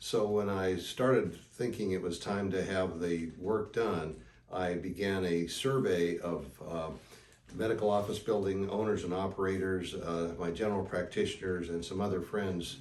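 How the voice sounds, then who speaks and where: A man speaks in a very deep, low voice with fairly even intonation. The pace is moderate, and room echo is audible. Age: 70s. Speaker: knee surgery patient. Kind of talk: interview testimony. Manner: conversational with fillers.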